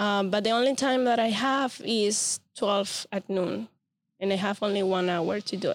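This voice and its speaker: Speaking with a Spanish accent, a woman keeps her intonation fairly even. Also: medium pitch for a woman, moderate pace, very even loudness. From Venezuela. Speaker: podcast host and photographer. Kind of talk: casual interview chat.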